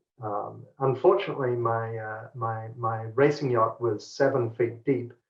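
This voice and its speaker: Somewhat breathy, a man talks at a fairly slow pace with medium pitch and fairly even intonation. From New Guinea. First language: Pidgin. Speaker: tech company executive. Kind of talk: interview.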